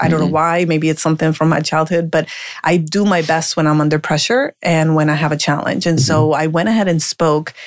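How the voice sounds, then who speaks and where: Noticeable background noise sits behind a woman with an American accent who speaks at a fairly low pitch. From Colombia (Medellin), raised partly in US. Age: 40s. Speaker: life coach and speaker. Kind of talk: interview.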